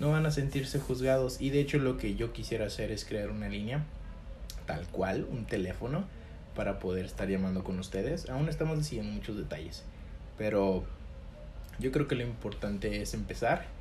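A man talks at a moderate pace, and room echo is audible around him. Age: 20s. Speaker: podcast host. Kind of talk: casual monologue to camera. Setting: home recording to camera. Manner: hesitant, many fillers.

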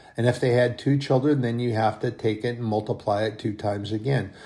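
A man's medium-pitched, somewhat breathy voice shows ordinary pitch variation. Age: 60s. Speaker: lay preacher / bible teacher. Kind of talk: sermon. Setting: solo online broadcast. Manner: halting.

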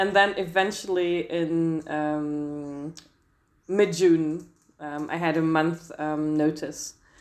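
Very slow and monotone, a woman speaks in a very deep, low pitch with a German accent. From Germany. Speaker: lawyer and translator. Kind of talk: interview. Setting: video call. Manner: hesitant, frequent fillers.

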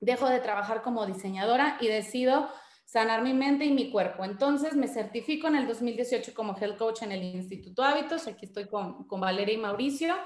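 A woman's high voice at a moderate pace. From Mexico, Guadalajara and Monterrey. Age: 30s. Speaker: podcast host and wellness coach. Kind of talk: personal testimony presentation. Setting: online live session.

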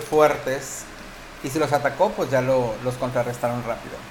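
Against noticeable background noise, a man with a Mexican accent and a fairly high pitch speaks at a moderate pace with fairly even intonation. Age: 40s. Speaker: university teacher and podcast co-host. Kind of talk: casual chat.

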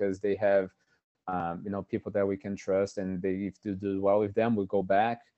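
With a Portuguese accent, a man speaks at a moderate pace, his fairly low pitch held in monotone, flat intonation. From Brazil. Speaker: physical therapist. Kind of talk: interview.

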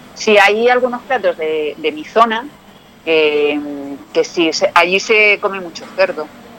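The delivery is very slow with long, frequent pauses, lively intonation and big swings in loudness, set against noticeable background noise. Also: woman, medium pitch for a woman. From Spain, Toledo province (Talavera de la Reina area). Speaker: actress and former model. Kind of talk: casual interview chat.

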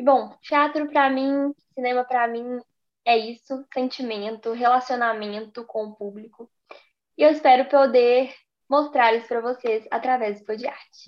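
Fairly slowly and at a high pitch, a woman speaks with fairly even intonation. Her loudness swings widely. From Brazil, Belo Horizonte. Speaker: actress and podcast co-host. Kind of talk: casual chat.

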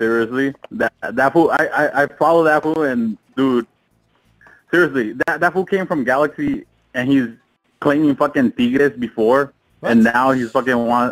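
A man speaks at a fairly high pitch and moderate pace, in a normal speaking voice. His pitch varies in an ordinary way, and the sound is dry and close with no echo. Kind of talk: casual chat.

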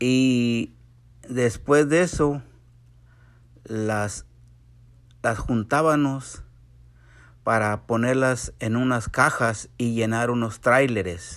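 Speech comes at a very slow pace with long, frequent pauses and ordinary pitch variation on a very clean recording with a silent background. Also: man, medium pitch for a man. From Mexico, San Luis Potosí. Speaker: immigrant grandfather. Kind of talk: interview.

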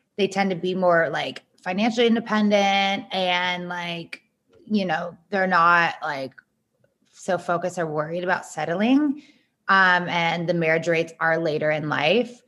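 A woman speaks in a normal speaking voice, fairly low in pitch, at a fairly slow pace. Her pitch varies in an ordinary way, and the background is quiet. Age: 30s. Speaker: dating app entrepreneur. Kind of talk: casual chat.

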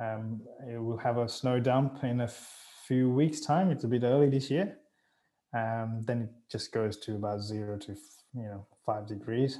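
A man's dark, mellow voice at a medium pitch. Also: ordinary pitch variation, moderate pace. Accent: Australian. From Sri Lanka, raised in Australia. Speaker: pilot and expat. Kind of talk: interview.

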